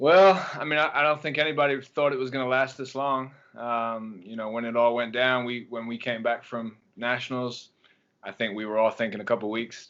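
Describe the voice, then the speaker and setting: Here a man speaks in an English accent. His pace is fairly quick, with ordinary pitch variation. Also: medium pitch for a man. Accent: English accent, noticeable. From England. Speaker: track and field coach. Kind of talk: podcast interview. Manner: hesitant, many fillers.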